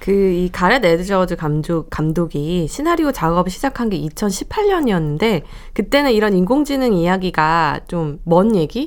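A woman's ordinary speaking voice at medium pitch, with lively intonation, a fairly slow pace and hardly any pauses. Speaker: film journalist. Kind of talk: radio film review discussion. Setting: radio studio.

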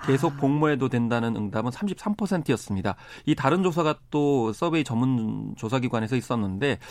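A man with a plain, everyday voice, fairly high in pitch, at a fairly slow pace with lively intonation. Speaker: data expert. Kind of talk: radio studio interview. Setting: studio.

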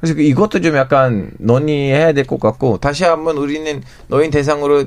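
This man's voice is fairly high in pitch. He keeps a moderate pace. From Turkey. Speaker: journalist. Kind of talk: radio panel discussion. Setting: radio studio. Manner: halting, searches for words.

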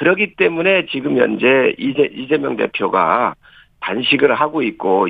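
Fairly high for a man, this voice is an unremarkable speaking voice. He keeps a moderate pace. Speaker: member of parliament. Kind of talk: political interview. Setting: phone call.

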